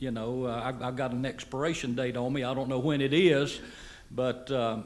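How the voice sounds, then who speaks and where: Against audible room echo, a man of medium pitch talks at a moderate pace in a monotone, flat intonation. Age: 70s. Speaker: board chair. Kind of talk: speech at fundraising event. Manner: halting.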